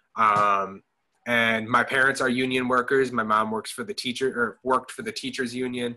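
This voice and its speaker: A man with an American accent, medium pitch, bright, sharp tone, fairly even intonation, and a moderate pace. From Madison, Wisconsin. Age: 20s. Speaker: tenant union organizer. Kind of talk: casual interview chat.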